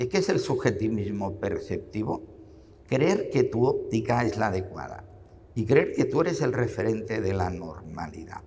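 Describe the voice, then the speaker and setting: Room echo can be heard around the speech. A man delivers it at a moderate pace. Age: 70s. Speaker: psychologist and podcaster. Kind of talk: interview.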